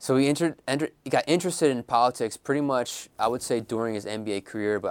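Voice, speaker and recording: A man talks at a very fast pace with a Philadelphia accent and ordinary pitch variation. The recording is very clean, with a silent background. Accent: Philadelphia American English. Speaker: author. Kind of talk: interview. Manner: frequent fillers and hesitations.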